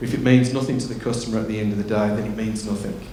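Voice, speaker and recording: Audible room echo and noticeable background noise surround a man speaking at a medium pitch in a monotone, flat way. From England. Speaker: tech company executive. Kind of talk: conference talk. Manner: halting, many fillers.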